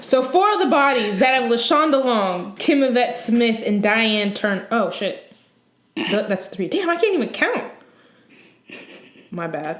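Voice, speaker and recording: A woman speaks at a fairly high pitch with very wide pitch swings, at a fairly slow pace with long, frequent pauses. Audible room echo surrounds her voice. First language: not English. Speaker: true crime podcast co-host. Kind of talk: casual podcast chat.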